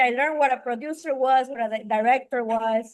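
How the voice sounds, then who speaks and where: A woman in a Spanish accent, very fast, high-pitched, with ordinary pitch variation. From Venezuela. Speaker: film director and writer. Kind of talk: interview. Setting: podcast.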